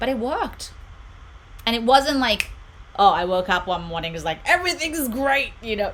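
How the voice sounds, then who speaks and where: With an Australian accent, a woman talks in an animated tone. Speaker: meditation channel host. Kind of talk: live stream chat. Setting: home room.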